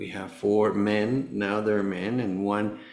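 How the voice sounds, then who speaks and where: A man speaks with a Spanish accent in a fairly low pitch. He talks at a fairly slow pace, and room echo is audible. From Venezuela. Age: 60s. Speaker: cancer survivor, former tennis player. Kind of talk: podcast interview. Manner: halting.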